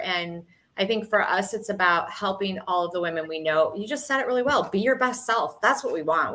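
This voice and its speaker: Bright and sharp in tone, a woman with an American accent speaks with lively intonation. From Michigan. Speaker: podcast co-host. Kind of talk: casual podcast chat.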